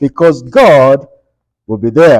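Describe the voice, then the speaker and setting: A man's dark, mellow tone at a fairly slow pace. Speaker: Bible study teacher. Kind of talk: Bible study lesson. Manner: loud. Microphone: speaking without microphone, muted it.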